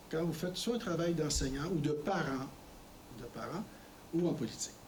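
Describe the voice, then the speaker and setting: A man speaks in a Quebec accent with a fairly high voice and ordinary pitch variation, with audible room echo and noticeable background noise. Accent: Québécois. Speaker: former politician, guest speaker. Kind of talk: lecture. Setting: college lecture with audience. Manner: conversational with hesitations.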